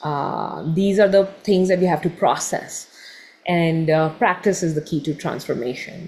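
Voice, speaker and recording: A woman with an unremarkable speaking voice talks at a fairly slow pace. Her pitch is fairly low, with ordinary pitch variation. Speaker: meditation teacher. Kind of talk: online workshop talk.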